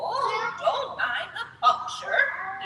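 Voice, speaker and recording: A woman's put-on character voice at an extremely high pitch, with slight echo and clear background noise. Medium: read story.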